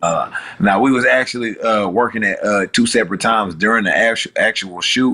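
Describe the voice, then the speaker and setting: A man with a Houston accent speaks at a fairly quick pace, his loudness very even throughout. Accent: Southern US, Houston. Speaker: rapper. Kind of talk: interview answer.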